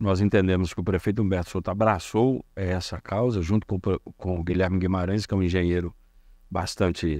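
A man speaks in a very deep, low voice with fairly even intonation. The sound is dry with no echo, and the background is quiet. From northern Minas Gerais, Brazil (rural Montes Claros); Minas Gerais, Brazil. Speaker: city councillor. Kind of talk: interview. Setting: studio. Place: studio. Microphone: handheld.

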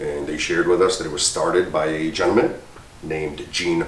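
With audible room echo behind him, a man speaks at a moderate pace and with ordinary pitch variation.

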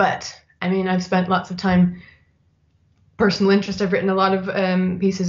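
A woman speaks at a moderate pace in a somewhat breathy voice. The background is quiet. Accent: Canadian. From Canada. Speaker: design writer and editor; interview guest. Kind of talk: interview. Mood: thoughtful, friendly. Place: home room. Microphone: webcam.

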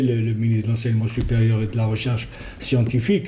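Over light background noise, a man speaks at a medium pitch. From Algeria. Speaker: descendant of a historical doctor; TV guest. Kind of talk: TV interview. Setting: TV studio. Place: studio. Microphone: lapel.

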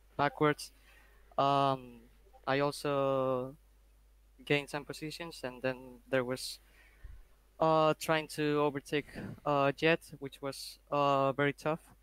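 In a dry, close sound with no echo, a man with a fairly high voice speaks at a very slow pace in a flat monotone. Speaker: sim racing driver. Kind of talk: casual chat. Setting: online voice chat. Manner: halting.

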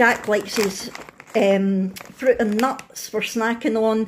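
Speech comes at a slow pace with fairly even intonation. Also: woman, fairly high pitch for a woman.

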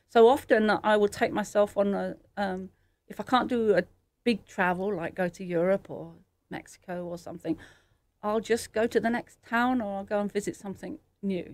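With a British accent, a woman speaks at a moderate pace and a medium pitch with ordinary pitch variation. Her loudness swings widely. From England. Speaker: artist. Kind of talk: interview.

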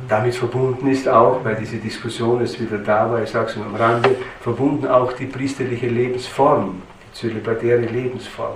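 In a Styrian accent, a man speaks with monotone, flat intonation at a medium pitch. His loudness swings widely amid audible room echo. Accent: Styrian Austrian German. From Styria, Austria. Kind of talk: lecture. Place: church.

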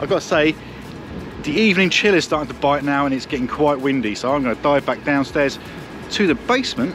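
Very fast speech from a man comes with music in the background and a dry sound with no echo. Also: ordinary pitch variation. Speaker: travel vlogger. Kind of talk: casual vlog chat. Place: street. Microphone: phone near.

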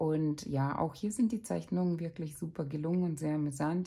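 Somewhat breathy, a woman speaks in a dark, mellow tone at a very deep, low pitch. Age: 30s. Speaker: parenting vlogger. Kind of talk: book review. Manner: casual.

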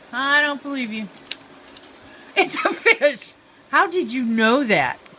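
At a slow pace, the voice carries a bright, sharp tone. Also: woman.

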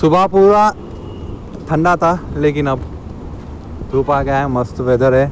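Ordinary pitch variation comes through in a dry recording without echo, with light background noise. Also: man, fairly high pitch for a man. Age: young. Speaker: vlogger. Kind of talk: casual vlog talk to camera. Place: waterside. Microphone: phone near.

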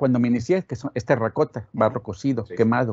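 A man speaks with a northern Mexican accent and ordinary pitch variation. The sound is dry with no echo, and the background is quiet. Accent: northern Mexican (Monterrey) Spanish. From Monterrey, northern Mexico; Mexico. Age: 70s. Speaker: sculptor. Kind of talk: interview. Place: studio.

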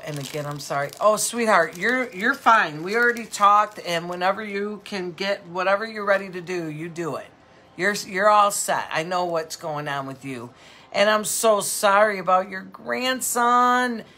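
A woman talks at a moderate pace. Her loudness swings widely. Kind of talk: casual live-stream sales chat. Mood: warm, sympathetic. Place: shop.

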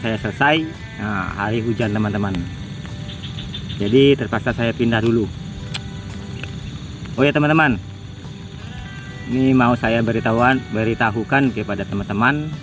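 Clear music plays in the background while a man talks at a moderate pace with ordinary pitch variation. The sound is dry, with no echo. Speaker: hunting vlogger. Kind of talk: casual vlog chat. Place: open country. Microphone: phone near.

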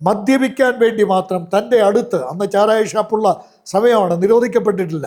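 A man talks with a high pitch that varies in an ordinary way. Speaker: evangelist. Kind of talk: testimony. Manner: halting.

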